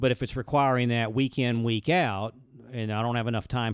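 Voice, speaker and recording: A man at medium pitch with an Alabama accent, fairly even intonation and a fairly quick pace. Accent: Southern US (Alabama). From US South, Birmingham, Alabama. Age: 50s. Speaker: commercial banker. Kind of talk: casual chat. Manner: fast.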